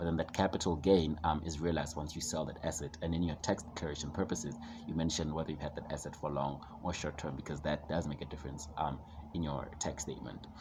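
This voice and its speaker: A man with a very deep, low pitch and vocal fry speaks at a very fast pace in a monotone, flat delivery. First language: a South African language other than English. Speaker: finance educator / vlogger. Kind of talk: tutorial. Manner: hesitant, many fillers.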